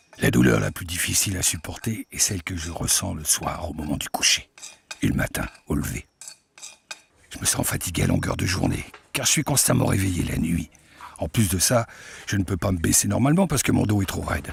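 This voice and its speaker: A man speaks with a very deep, low pitch and very wide pitch swings. He leaves long, frequent pauses. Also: fairly quick pace. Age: 60s. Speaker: patient testimonial narrator. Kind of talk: scripted narration.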